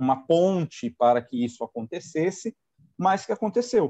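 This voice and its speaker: A man with a dark, mellow tone talks fairly slowly with lively intonation, the sound dry and close with no echo. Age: 40s. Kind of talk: testimony. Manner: hesitant, with fillers.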